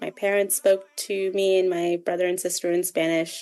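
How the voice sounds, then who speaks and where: A woman speaks at a fairly slow pace and medium pitch in a plain, everyday voice. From Ottawa, Canada. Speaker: community radio program officer. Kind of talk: interview. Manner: casual.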